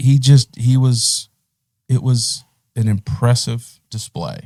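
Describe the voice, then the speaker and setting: A man's very slow, somewhat breathy voice with a Texas accent, dark and mellow in tone, fairly even in intonation, dry and close with no echo. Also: medium pitch for a man. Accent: country Texas. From Middle East. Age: 40s. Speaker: professional golfer. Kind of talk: casual chat. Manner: casual, halting.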